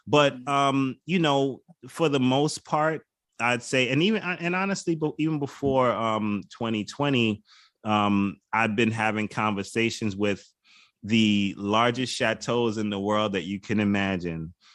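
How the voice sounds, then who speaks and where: A man with an American accent, medium pitch and lively intonation, a normal speaking voice, over a quiet background. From Bronx, New York. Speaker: wine auctioneer and hip hop culture creative agency head. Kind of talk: interview answer.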